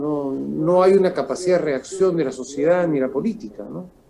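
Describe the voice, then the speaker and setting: Talking at a moderate speed, a man has an unremarkable speaking voice pitched fairly high. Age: 60s. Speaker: political analyst. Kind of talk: interview.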